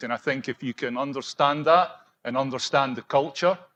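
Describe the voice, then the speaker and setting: In a Scottish accent, a man speaks at a fairly high pitch with ordinary pitch variation. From Scotland. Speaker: project executive for contractors. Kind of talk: conference panel discussion.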